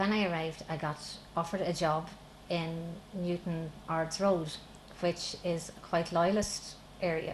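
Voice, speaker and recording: The speech moves at a fairly slow pace in a flat monotone. Pauses are long and frequent. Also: woman, fairly low pitch for a woman. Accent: southern Irish. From Republic of Ireland. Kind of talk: interview testimony.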